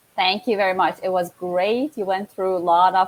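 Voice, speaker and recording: Dry, close sound with no echo carries a speaker with an Iranian accent. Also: woman. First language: Farsi. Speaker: network marketing entrepreneur. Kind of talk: casual live-stream interview. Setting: live stream.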